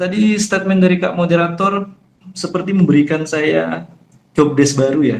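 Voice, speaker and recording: A man with a high pitch speaks at a moderate pace, his pitch varying an ordinary amount. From Jambi, Sumatra, Indonesia. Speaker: Islamic preacher. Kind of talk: online religious talk. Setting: online forum. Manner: somewhat hard, firm tone.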